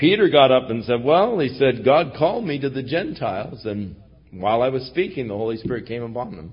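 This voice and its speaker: A man at medium pitch sounds somewhat breathy, with big swings in loudness. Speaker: pastor. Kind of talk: sermon. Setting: church.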